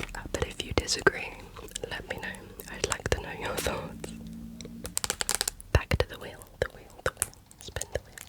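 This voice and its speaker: Whispering at a moderate pace with long, frequent pauses, a woman is heard over noticeable background noise. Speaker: ASMR creator. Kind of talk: ASMR whisper rambling. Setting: background traffic noise. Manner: whispered.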